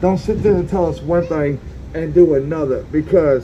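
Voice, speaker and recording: Against noticeable background noise, a fairly high-pitched man talks at a moderate pace with fairly even intonation. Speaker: homeless camp resident and protester. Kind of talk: protest speech. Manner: loud; impassioned.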